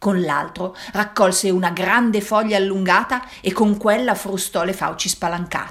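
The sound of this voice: The voice reads in an unforced way. Its intonation is fairly even.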